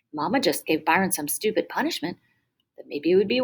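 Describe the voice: Plain reading aloud against a quiet background comes through in this clip.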